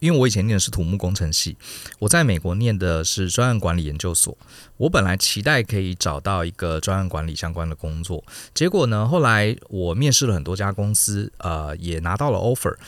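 Lively intonation runs through this man's very deep, low-pitched voice. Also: fairly quick pace. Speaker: company co-founder, former engineer and business consultant. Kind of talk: podcast interview.

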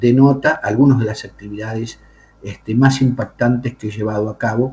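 At a moderate pace, a voice with a dark, mellow tone and a somewhat breathy quality speaks with ordinary pitch variation. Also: man. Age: 50s. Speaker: bishop and exorcist. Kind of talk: interview. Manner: formal.

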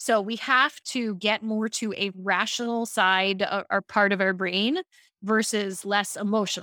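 In a very clean recording with a silent background, a woman with an American accent speaks at a fairly slow pace, her bright, sharp tone at medium pitch. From Baltimore, Maryland, US. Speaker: speaking coach and company founder. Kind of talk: interview. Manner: animated.

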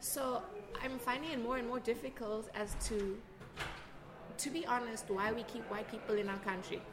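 This woman talks at a moderate pace with long, frequent pauses, her fairly high pitch showing ordinary variation. There is audible room echo and noticeable background noise. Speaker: artist. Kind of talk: interview. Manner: animated.

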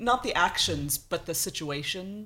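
This woman has an American accent. Her pitch swings very widely. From United States. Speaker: blogger. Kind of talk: casual chat. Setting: studio.

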